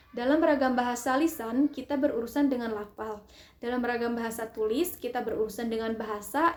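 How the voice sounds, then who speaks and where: A high female voice at a moderate pace with ordinary pitch variation. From Sundanese region, West Java, Indonesia. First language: Sundanese (speaking Indonesian). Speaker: university student. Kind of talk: class presentation. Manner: formal.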